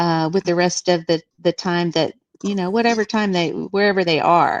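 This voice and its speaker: A woman speaks at a moderate pace in a normal speaking voice, pitched fairly low. Her intonation stays fairly even, and the sound is dry and close with no echo. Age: 60s. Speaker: guest on live show, former Jehovah's Witness. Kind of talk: casual chat.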